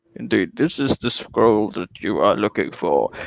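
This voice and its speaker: A man's put-on character voice with a fairly low pitch. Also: moderate pace. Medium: actual play. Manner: pompous, condescending.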